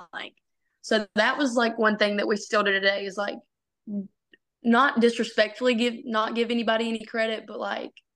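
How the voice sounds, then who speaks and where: In a Southern US accent, a woman with fairly high pitch talks at a fairly quick pace in a monotone, flat way, with long, frequent pauses. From Arkansas, US South. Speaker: college softball pitcher. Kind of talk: interview.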